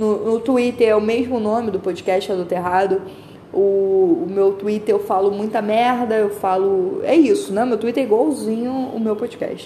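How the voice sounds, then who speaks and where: A woman's fairly high voice with a dark, mellow tone, moderate pace and ordinary pitch variation, in audible room echo. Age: 20s. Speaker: podcaster. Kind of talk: casual monologue. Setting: walking on the street. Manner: rambling and animated.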